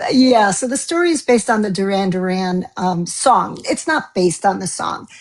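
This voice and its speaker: A normal speaking voice, moderately paced, with lively intonation. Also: woman, medium pitch for a woman. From US East Coast. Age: 60s. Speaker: novelist. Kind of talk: interview.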